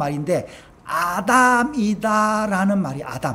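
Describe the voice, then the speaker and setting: A man with a high pitch speaks at a very slow pace with a Gyeongsang accent, amid noticeable background noise and audible room echo. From Gyeongsang region, South Korea. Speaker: pastor. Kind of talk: sermon. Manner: halting, with many fillers.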